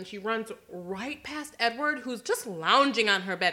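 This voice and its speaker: A woman's fairly high voice, lively in intonation, moves at a moderate pace against noticeable background noise. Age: 20s. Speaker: podcast co-host. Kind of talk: casual chat.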